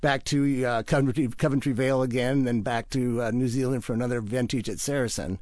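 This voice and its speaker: A man with a Pacific Northwest accent talks at a fairly quick pace and medium pitch. His intonation is fairly even, and the background is quiet. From Washington State (Wenatchee). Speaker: winemaker. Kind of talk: radio interview.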